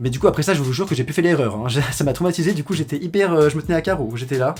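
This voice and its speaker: The speaker sounds animated, with lively intonation. The pace is very fast. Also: man. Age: young. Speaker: YouTuber. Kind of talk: storytime monologue.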